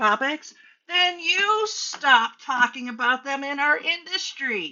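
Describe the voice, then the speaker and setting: A loud, high-pitched woman's voice with very wide pitch swings at a very slow pace. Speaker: hairstylist and business coach. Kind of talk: motivational talk to camera. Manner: animated.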